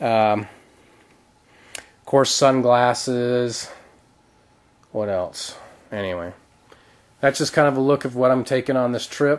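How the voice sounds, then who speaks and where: A man speaks at a medium pitch and a fairly slow pace, with ordinary pitch variation and long, frequent pauses. His loudness swings widely, and there is noticeable background noise. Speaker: outdoor gear vlogger. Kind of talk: gear show-and-tell video.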